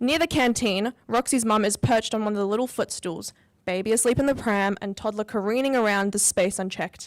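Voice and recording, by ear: The speaker is reading aloud. It is done in a natural voice.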